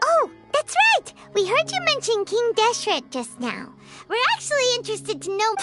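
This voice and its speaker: A squeaky, put-on character voice at an extremely high pitch rises over loud music in the background. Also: moderate pace. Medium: machinima.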